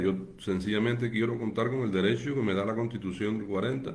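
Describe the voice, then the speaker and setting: Audible room echo surrounds a man whose fairly low voice moves with fairly even intonation. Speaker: political activist. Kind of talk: livestream monologue. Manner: halting.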